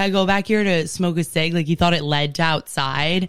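A woman speaks in an animated tone at a moderate pace while music plays in the background. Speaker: comedian. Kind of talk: casual chat.

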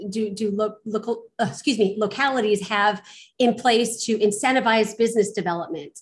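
A somewhat breathy woman's voice, fairly high in pitch with ordinary pitch variation, at a moderate pace over a quiet background. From Los Angeles, US. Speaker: real estate investor. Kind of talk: interview.

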